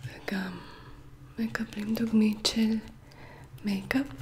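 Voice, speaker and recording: Someone whispers, soft-spoken, at a very slow pace. Noticeable background noise runs underneath. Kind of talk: ASMR shopping haul talk. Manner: soft-spoken or whispered.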